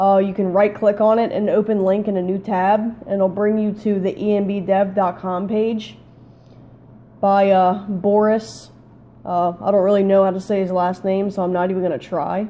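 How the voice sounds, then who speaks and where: The woman's voice has a dark, mellow tone and monotone, flat intonation. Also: moderate pace. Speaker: gaming tutorial youtuber. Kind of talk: tutorial. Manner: hesitant, many fillers.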